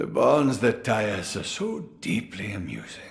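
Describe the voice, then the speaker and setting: A man does a put-on character voice at a moderate pace. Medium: video game. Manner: wry, chuckling.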